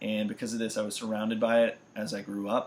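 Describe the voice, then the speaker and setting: With an American accent, a man talks in a normal speaking voice at a medium pitch, keeping a fairly quick pace and fairly even intonation. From US Midwest and Florida (St. Louis, Missouri, then central Florida from about age 11). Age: 20s. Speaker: university student. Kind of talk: self-introduction video.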